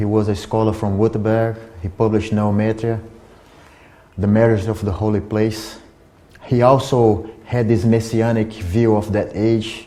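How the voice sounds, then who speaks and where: There is audible room echo around a man whose intonation is monotone and flat. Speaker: lecturer on esoteric history. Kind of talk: lecture. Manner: halting, with repetitions and restarts.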